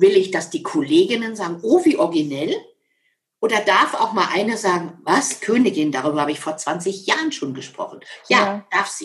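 A woman with a medium pitch sounds somewhat breathy as her voice moves through very wide pitch swings. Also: moderate pace. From Lower Saxony, Germany (Schaumburg area). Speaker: motivational speaker and author. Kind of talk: interview.

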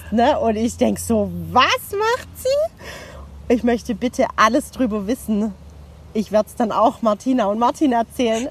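A woman talks at a fairly slow pace with big swings in loudness. Noticeable background noise can be heard. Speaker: podcast co-host. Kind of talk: casual chat. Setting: outdoors on a meadow.

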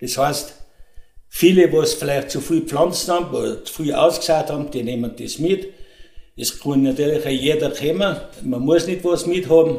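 Fairly high pitch and ordinary pitch variation from a man with a Tyrolean accent. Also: moderate pace. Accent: Tyrolean Austrian German. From Tyrol, Austria (Pillerseetal). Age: 70s. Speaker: fruit and garden club chairman. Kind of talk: interview.

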